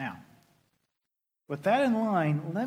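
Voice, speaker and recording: Over audible room echo, a man talks at a moderate pace with very wide pitch swings. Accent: Southern US. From Oklahoma. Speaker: pastor. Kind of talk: sermon.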